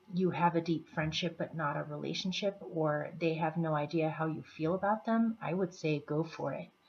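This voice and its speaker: Soft-spoken and fairly low-pitched, a woman speaks at a moderate pace with fairly even intonation. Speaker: tarot reader. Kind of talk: tarot reading for viewers.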